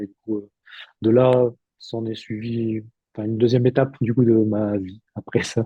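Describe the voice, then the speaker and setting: A man at a fairly slow pace, in a monotone with flat intonation. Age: 30s. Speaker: therapist, former lift technician. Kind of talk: interview testimony. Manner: halting, many fillers.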